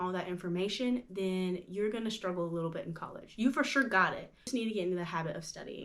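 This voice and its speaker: A woman's voice at medium pitch. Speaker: lifestyle vlogger. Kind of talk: advice monologue to camera. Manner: animated.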